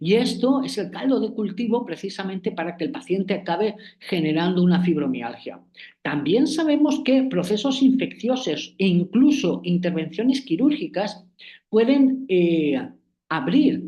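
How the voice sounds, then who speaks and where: A man's high-pitched, dark, mellow voice at a fairly slow pace, with very wide pitch swings and audible room echo. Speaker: acupuncture professor. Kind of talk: online lecture. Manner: hesitant, many fillers.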